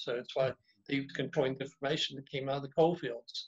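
Speech comes at a very fast pace from a somewhat breathy man. His intonation stays fairly even. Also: quiet background. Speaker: guest. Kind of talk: interview answer. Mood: engaged, storytelling. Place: home room. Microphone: video call.

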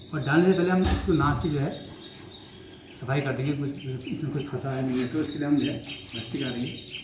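A man at a moderate pace with long, frequent pauses, noticeable background noise behind him. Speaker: yoga instructor. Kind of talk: yoga tutorial instruction to camera. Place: home room. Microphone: camera far.

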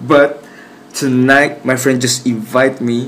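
Music plays in the background as a man talks very slowly. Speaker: vlogger. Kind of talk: casual vlog chat. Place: home room. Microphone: phone near.

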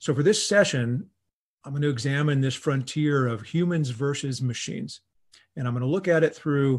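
A somewhat breathy voice at a moderate pace over a quiet background. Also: man, ordinary pitch variation. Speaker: professor giving lecture. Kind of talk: lecture. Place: home room. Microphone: video call.

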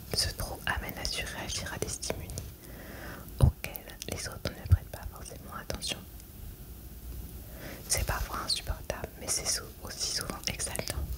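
Whispering and soft-spoken, the voice moves at a fairly slow pace with long, frequent pauses over loud background noise. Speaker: reader. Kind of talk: reading aloud from a self-help book. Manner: soft whispered French reading.

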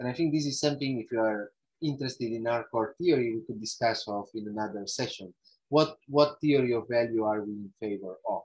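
A man in an Italian accent, fairly quick in pace, with ordinary pitch variation. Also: quiet background. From northern Italy, Alps. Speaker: ecological economics researcher; guest lecturer. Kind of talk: lecture. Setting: video call. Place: home room. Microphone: earbuds.

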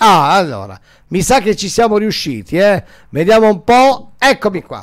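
Against a quiet background, a man talks fairly slowly at a high pitch with lively intonation. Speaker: radio DJ and host; radio DJ, host. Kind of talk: live phone call with a listener. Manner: casual, chatty. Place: studio. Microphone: studio mic.

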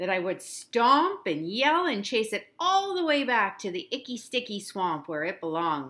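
Someone is reading. They use a natural reading voice.

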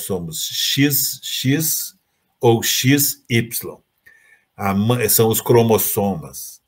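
This man has a fairly low pitch. His intonation is lively. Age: 70s. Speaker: agronomist and environmental activist; guest. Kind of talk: lecture. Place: home room. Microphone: webcam.

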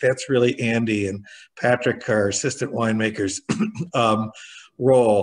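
Over a quiet background, a man speaks with a General American accent at a medium pitch. His intonation is monotone and flat, and his pace is moderate. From Michigan, USA. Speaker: wine auctioneer and winery owner. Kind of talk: interview answer. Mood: relaxed, thoughtful. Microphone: video call.

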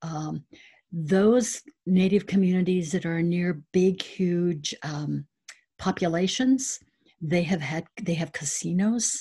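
Speaking at a very slow pace, a woman with an American accent has a fairly low, somewhat breathy voice and a dark, mellow tone. Her pitch varies in an ordinary way against a quiet background. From South Dakota, US. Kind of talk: panel presentation. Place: home room. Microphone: webcam.

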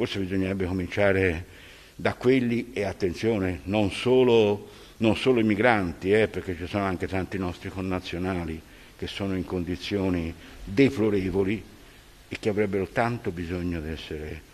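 At a moderate pace, a man speaks with a very deep, low pitch and ordinary pitch variation. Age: 80s+. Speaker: teacher, speaker at regional council commemoration; teacher, council speaker. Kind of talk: commemorative speech; formal speech. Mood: reflective, grave. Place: hall. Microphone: podium.

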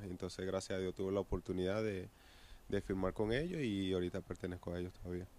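The delivery is very fast, with fairly even intonation. The tone is dark and mellow, and the sound is dry with no echo. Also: man, very deep, low pitch for a man. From Venezuela. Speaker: professional baseball pitcher. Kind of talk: interview answer. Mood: relaxed, reminiscing. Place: stadium. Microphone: handheld.

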